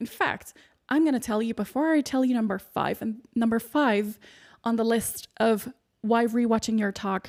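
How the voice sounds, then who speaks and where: On a very clean recording with a silent background, a woman speaks with a fairly high pitch and fairly even intonation. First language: not English. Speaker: podcast host and speaking coach. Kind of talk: solo podcast monologue.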